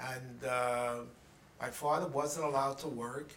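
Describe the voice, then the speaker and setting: A man with a New York accent talks at a fairly slow pace, his pitch fairly high and his intonation fairly even. Noticeable background noise and audible room echo surround his voice. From New York City, the Bronx. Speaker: interviewee recounting life story. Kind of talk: oral history interview. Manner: halting.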